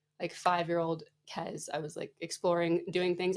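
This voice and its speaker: A woman with a Canadian accent and a normal speaking voice, medium in pitch, at a moderate pace with fairly even intonation. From Canada. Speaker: physiotherapist and entrepreneur. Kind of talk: podcast interview.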